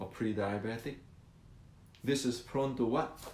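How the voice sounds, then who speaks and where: A man talks at a medium pitch. Audible room echo surrounds his voice. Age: 60s. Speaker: martial arts teacher. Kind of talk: educational talk. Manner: halting, repetitive.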